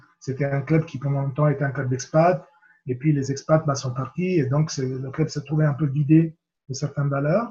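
The man's voice is fairly high and somewhat breathy, moving at a moderate pace with fairly even intonation. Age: 50s. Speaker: rugby coach and mental coach. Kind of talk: interview. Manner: hesitant, with fillers and repetitions.

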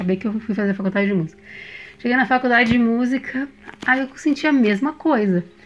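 A woman with a fairly high pitch talking at a very fast pace over noticeable background noise. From Brazil, São Paulo. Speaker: musician and therapist. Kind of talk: interview.

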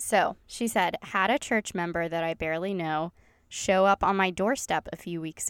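With a Southern US accent, a woman speaks at a fairly low pitch. The sound is dry and close, with no echo. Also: very clean recording, silent background. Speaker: podcast host. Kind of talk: casual chat. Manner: animated, chatty.

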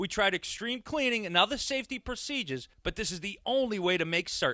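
Against a quiet background, a man uses a raised, projected voice with a bright, sharp tone, high pitch and lively intonation at a fairly quick pace, the sound dry and close with no echo. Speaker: announcer. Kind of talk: commercial voiceover.

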